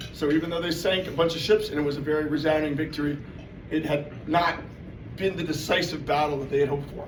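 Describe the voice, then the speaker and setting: A man with an American accent speaks at a fairly high pitch with fairly even intonation. Noticeable background noise and audible room echo surround him. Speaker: presenter at club meeting. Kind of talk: informal presentation. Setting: meeting room with audience. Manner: loud; casual, filler-heavy.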